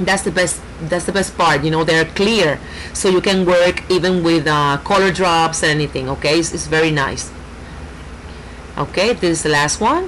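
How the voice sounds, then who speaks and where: Noticeable background noise sits behind a woman with a Puerto Rican accent whose pitch varies in an ordinary way. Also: fairly low pitch for a woman, moderate pace, very even loudness. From Puerto Rico. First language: Spanish. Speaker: nail artist. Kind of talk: tutorial. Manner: halting, many fillers.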